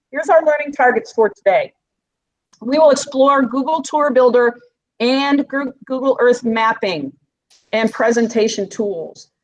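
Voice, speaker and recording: A woman speaks against a quiet background. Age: 50s. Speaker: instructional coach; presenter. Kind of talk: online teacher training workshop. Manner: fast. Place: office. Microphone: webcam.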